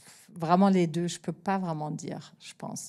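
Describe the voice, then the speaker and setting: A woman with a German accent, medium pitch, fairly even intonation and a fairly slow pace, in a very clean recording with a silent background. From Germany. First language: German (speaking French). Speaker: TV editor-in-chief. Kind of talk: masterclass Q&A. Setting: stage with live audience. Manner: hesitant, many fillers.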